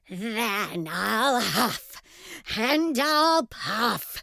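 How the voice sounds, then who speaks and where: A woman's put-on character voice, high in pitch. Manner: loud, roaring.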